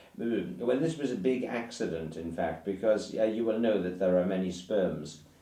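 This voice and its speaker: With an English accent, a man speaks at a moderate pace in a fairly low voice with lively intonation. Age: 60s. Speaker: writer. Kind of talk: casual chat. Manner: halting.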